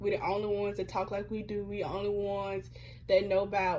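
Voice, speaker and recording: A woman's medium-pitched voice with a Birmingham, Alabama accent. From US South, Birmingham, Alabama. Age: 20s. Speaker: student vlogger. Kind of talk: personal reflection monologue. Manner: casual, conversational.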